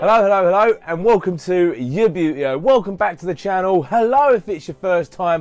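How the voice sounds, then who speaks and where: Music plays behind a man speaking at a high pitch with lively intonation. His pace is moderate, with hardly any pauses. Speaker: YouTube hobby vlogger. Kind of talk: casual unboxing vlog. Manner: animated.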